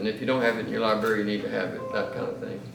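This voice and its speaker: Audible echo from the room mixes with noticeable noise in the background. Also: man. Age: 40s. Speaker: seminary professor and pastor. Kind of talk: lecture. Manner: fast; halting.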